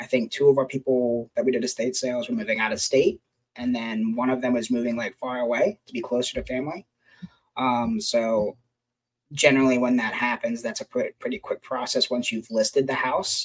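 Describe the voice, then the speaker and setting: Medium in pitch, a man speaks in an ordinary speaking voice with ordinary pitch variation. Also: fairly quick pace, dry, close sound with no echo. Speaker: podcast co-host. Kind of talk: casual chat.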